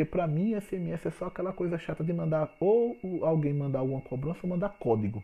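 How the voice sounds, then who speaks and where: A man's normal speaking voice, fairly high in pitch, with a fairly quick pace and lively intonation. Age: 30s. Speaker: business consultant podcaster. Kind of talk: solo podcast talk. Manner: informal and chatty.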